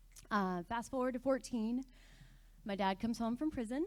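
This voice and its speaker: Ordinary pitch variation from a woman with an American accent. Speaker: church member sharing testimony. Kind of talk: testimony. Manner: fast when nervous.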